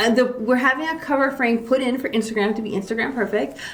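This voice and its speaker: Over noticeable background noise, a woman speaks at a fairly quick pace in a high pitch. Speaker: real estate agent. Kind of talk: casual chat. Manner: fast.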